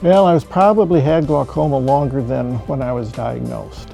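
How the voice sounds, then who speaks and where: With music in the background, someone speaks at a moderate pace in an American accent. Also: man. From US Midwest, Michigan. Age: 60s. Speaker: patient. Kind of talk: testimony. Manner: hesitant, many fillers.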